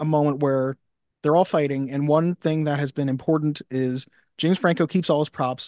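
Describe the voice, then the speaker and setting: A man with an unremarkable speaking voice speaks at a fairly high pitch. His intonation is fairly even, and the background is quiet. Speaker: podcast host. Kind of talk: casual chat. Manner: banter, playful.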